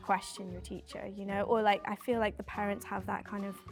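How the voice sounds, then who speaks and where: Background music behind a woman talking at a moderate pace. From London, England. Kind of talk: interview answer.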